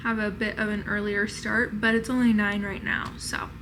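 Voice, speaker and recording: Speech at a moderate pace with audible room echo and noticeable background noise. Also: woman. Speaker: lifestyle vlogger. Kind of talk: casual vlog narration. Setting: hotel room. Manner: chatty.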